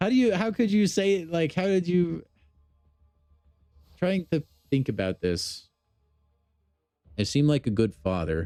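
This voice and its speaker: A man at a fairly slow pace, his loudness very even, with long, frequent pauses and music in the background. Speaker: gaming streamer. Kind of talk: live stream chat. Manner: casual, animated.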